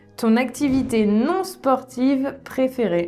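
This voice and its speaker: A woman speaks with a warm tone. Music is playing in the background. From France, Issoudun. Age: 30s. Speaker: French exam coordinator. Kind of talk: casual interview answer. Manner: warm, dynamic.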